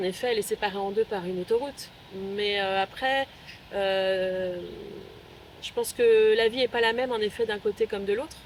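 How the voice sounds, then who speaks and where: A woman speaks at a moderate pace with a fairly high pitch. Her intonation is fairly even, broken by long, frequent pauses. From Paris suburbs, France. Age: 50s. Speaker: local resident. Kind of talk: interview. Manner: hesitant, many fillers.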